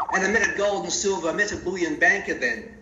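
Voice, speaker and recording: Amid audible room echo and noticeable background noise, a man talks at a very fast pace. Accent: Australian. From Australia, Melbourne area (rural dairy farm). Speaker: CEO of a precious metals company. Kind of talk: interview. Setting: phone call.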